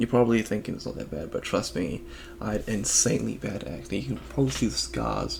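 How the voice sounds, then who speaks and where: A man with a very deep, low pitch talks at a fairly quick pace, using very wide pitch swings. Noticeable background noise and audible room echo surround him. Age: 20s. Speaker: vlogger. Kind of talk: personal vlog monologue.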